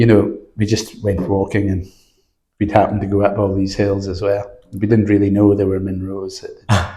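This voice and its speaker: A man's fairly low-pitched, somewhat breathy voice with a Scottish Highland accent, a dark, mellow tone, monotone, flat intonation, a fairly quick pace and audible room echo. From Scottish Highlands. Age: 60s. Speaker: mountain guide. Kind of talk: interview. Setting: indoors, windy outside.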